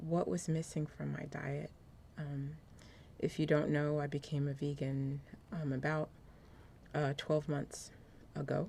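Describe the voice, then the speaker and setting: Soft-spoken, this woman has a very deep, low pitch. She keeps a moderate pace and fairly even intonation. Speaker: apparel designer and lifestyle vlogger. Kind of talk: casual vlog talk to camera. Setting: cold room at home. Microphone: new external microphone.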